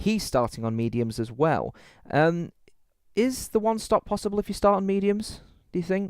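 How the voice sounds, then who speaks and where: A high-pitched man with a British accent, very wide pitch swings, moderate pace and long, frequent pauses, in a dry, close sound with no echo. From UK. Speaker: sim racing commentator. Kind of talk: live commentary. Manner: animated.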